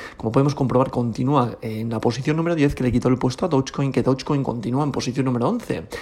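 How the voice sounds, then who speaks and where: With a Spanish accent, a man speaks at a very fast pace with hardly any pauses, against a quiet background. His medium-pitched voice is dark and mellow, with ordinary pitch variation. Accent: Peninsular Spanish. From Spain. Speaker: crypto podcast host. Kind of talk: daily market report.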